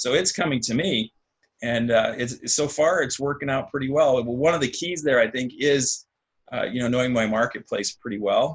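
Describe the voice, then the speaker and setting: A man is speaking here. His pitch is medium and his pace fairly quick. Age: 60s. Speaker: real estate investor, program student. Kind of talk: interview. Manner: halting, many fillers.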